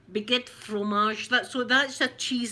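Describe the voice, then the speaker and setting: Noticeable background noise sits behind a woman with a Glaswegian accent. Her pace is moderate and her intonation fairly even. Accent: Glasgow Scottish, rough. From Scotland, Glasgow. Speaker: ASMR creator. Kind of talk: ASMR unboxing chat.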